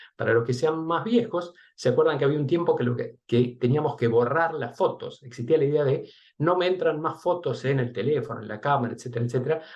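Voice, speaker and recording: A somewhat breathy man with a fairly high pitch and a fairly quick pace. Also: ordinary pitch variation. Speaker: research and development director giving a talk. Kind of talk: webinar presentation. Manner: fast.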